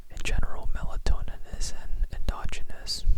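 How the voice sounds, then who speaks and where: A fairly slow whisper with noticeable background noise underneath. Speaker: ASMR tutor. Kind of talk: ASMR educational explanation. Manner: whispered, soft-spoken.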